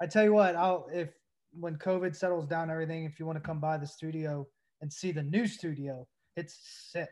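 With an American accent and a plain, everyday voice, a man with fairly high pitch speaks at a fairly quick pace in fairly even intonation against a quiet background. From US South, Tennessee (Knoxville). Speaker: former pro baseball player. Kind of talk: casual chat.

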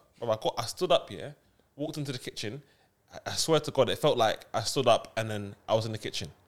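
Talking at a very fast pace with a London accent, a man of medium pitch shows ordinary pitch variation and big swings in loudness. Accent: London multicultural youth. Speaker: podcast host. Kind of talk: casual banter.

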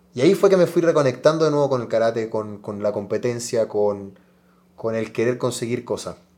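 A man speaks at a fairly quick pace in a medium pitch. His tone is dark and mellow, with lively intonation. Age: 30s. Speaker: karate athlete. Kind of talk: interview.

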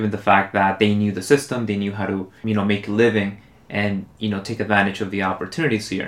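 Fairly even intonation carries speech in a Spanish accent delivered at a very fast pace. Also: man, fairly low pitch for a man. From Mexico City, then Los Angeles from age 11. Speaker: immigrant rights activist. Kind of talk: casual chat.

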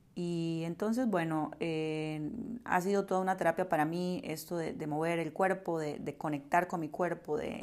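With a Costa Rican accent, a woman talks at a fairly slow pace and in a fairly even intonation. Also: very clean recording, silent background. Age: 30s. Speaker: podcast host and yoga teacher. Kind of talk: personal monologue. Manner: hesitant, many fillers and repetitions.

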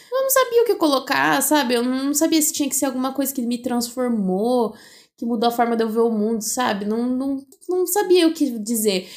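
On a very clean recording with a silent background, a woman speaks at a moderate pace in a high voice with lively intonation. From Brazil, interior of São Paulo state (Bauru). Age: 20s. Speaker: podcast co-host, biology student. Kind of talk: casual chat. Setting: recording in person together.

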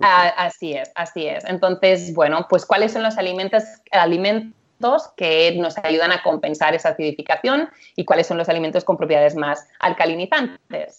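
At a moderate pace, a woman talks in a fairly low pitch with ordinary pitch variation and a plain, everyday voice. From Catalonia, Spain (Empordà). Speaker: nutritionist. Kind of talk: interview.

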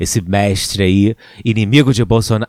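This man sounds animated. His recording is very clean and the background is silent. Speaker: podcast host. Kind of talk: casual chat.

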